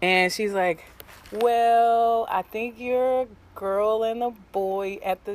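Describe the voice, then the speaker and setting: Very slow pace, dry sound with no echo. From US South, Jacksonville, Florida; Florida. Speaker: interviewee at community gathering; interviewee. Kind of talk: street interview. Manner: casual, filler-heavy. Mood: reflective, personal.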